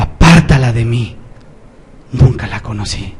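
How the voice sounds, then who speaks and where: A man does a booming put-on character voice at medium pitch. He goes at a fairly slow pace. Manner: authoritative.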